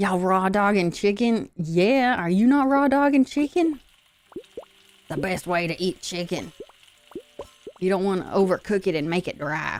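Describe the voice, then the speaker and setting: A woman with a slight Southern US accent speaks at medium pitch and a moderate pace, with lively intonation and long, frequent pauses. Music plays in the background. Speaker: vtuber streamer. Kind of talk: casual live stream chat. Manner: animated.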